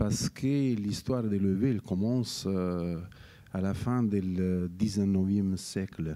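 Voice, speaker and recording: In a Neapolitan accent, a man speaks at a very slow pace with a dark, mellow tone, a fairly low pitch and ordinary pitch variation. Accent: Neapolitan Italian accent in French. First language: Italian (speaking French). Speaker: wine scientist, professor of oenology. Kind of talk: interview. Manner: halting, many hesitations.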